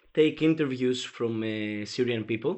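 A man with a Greek accent and ordinary pitch variation. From Greece. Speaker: journalist. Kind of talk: interview. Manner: halting, many fillers.

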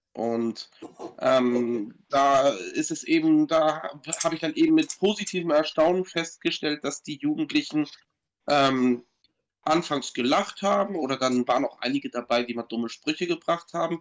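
The speaker uses an ordinary speaking voice at a fairly slow pace, with ordinary pitch variation. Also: man, fairly high pitch for a man. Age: 40s. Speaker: guest with Tourette syndrome, product designer. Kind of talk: casual chat.

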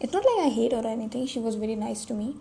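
A woman's fairly high voice against noticeable background noise. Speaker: podcaster. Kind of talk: personal monologue. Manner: halting.

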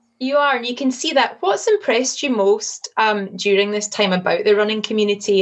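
A woman with a Scottish accent speaks at a very fast pace in a medium pitch with ordinary pitch variation. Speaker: communications executive, interviewer. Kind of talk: casual interview.

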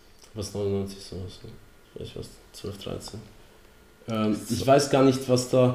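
Amid audible room echo, a man talks at a very slow pace with fairly even intonation and long, frequent pauses. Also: medium pitch for a man. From Poland. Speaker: podcast co-host. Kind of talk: casual chat.

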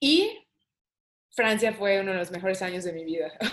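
A woman talks at medium pitch and a moderate pace, with ordinary pitch variation. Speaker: saxophonist. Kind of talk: interview conversation.

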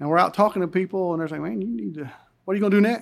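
On a very clean recording with a silent background, a man with an Appalachian accent speaks with lively intonation. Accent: Southern US, Appalachian. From Western North Carolina, Buncombe County. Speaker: congressional candidate, retired army colonel. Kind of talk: interview.

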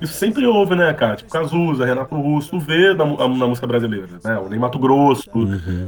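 Spoken with a Rio de Janeiro accent, the voice moves at a moderate pace with lively intonation against noticeable background noise. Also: man. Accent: Rio de Janeiro Portuguese (carioca). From Brazil, Rio de Janeiro. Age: 30s. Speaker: rapper and funk musician. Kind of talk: casual interview chat.

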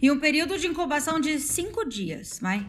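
A woman projects a raised voice at a fairly slow pace with lively intonation. Music plays in the background, and audible room echo surrounds her. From Paraná, Brazil. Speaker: virologist, postdoctoral researcher. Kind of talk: casual chat.

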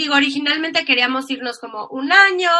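A woman's raised, projected voice, high-pitched with ordinary pitch variation. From Mexico. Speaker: emigrant interviewee. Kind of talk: casual interview.

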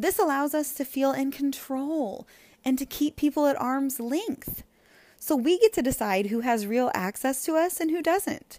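In a high pitch with lively intonation, a woman speaks in a dark, mellow tone. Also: moderate pace. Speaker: podcast host. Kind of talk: solo podcast monologue.

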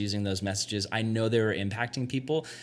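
A man's fairly quick speech, a normal speaking voice with ordinary pitch variation. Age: 20s. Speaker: youth pastor. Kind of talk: casual chat. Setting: youth retreat.

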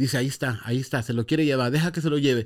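A very fast-talking man, on a very clean recording over a silent background. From Los Angeles (San Fernando), Mexican-American. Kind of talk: testimony.

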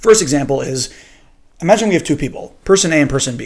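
This man speaks with lively intonation at a fairly high pitch. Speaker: podcast host. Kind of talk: solo podcast monologue. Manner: casual, rambling.

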